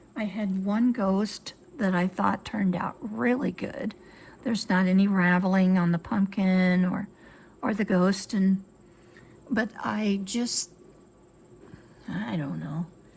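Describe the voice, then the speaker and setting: With an American accent, a woman speaks at a very slow pace, somewhat breathy, with long, frequent pauses. Her pitch is medium and varies in an ordinary way. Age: 70s. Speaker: sewing and crafts YouTuber. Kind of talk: tutorial. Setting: home sewing room with windows open. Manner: casual, chatty with fillers.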